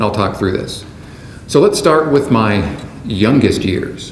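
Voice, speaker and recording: Noticeable background noise and audible room echo surround a voice with lively intonation. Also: man. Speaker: conference speaker, management consultant. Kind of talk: keynote speech. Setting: conference stage with audience. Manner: formal.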